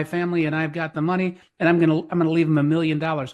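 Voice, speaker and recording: A man with a high-pitched voice speaks very fast in a quiet background. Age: 60s. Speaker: financial podcast co-host. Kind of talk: casual chat.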